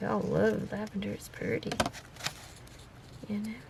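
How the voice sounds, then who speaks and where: A woman with a Southern accent at a moderate pace, over noticeable background noise. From US South, Florida and Texas. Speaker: crafter. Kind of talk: crafting tutorial. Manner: casual, chatty.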